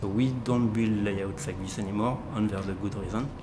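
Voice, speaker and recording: A fairly low-pitched man with a French accent, flat and monotone at a moderate pace, amid audible room echo and noticeable background noise. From France. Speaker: model railroad volunteer, automation maintainer. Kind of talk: documentary interview.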